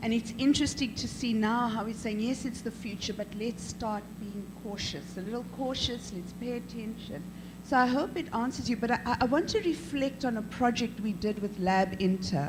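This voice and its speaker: A woman talks with hardly any pauses, and audible room echo surrounds her voice. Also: fairly high pitch for a woman, ordinary pitch variation, moderate pace. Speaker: professor and head of an arts school. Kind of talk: panel discussion. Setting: conference panel. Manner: loud; animated.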